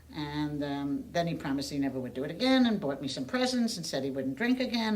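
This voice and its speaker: A woman's very deep, low voice with lively intonation, a fairly quick pace and audible room echo. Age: 70s. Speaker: domestic violence survivor. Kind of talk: testimony. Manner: halting.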